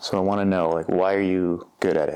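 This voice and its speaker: A man talks in a fairly low, dark, mellow voice against a quiet background. His intonation stays monotone and flat. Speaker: therapist. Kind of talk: podcast conversation.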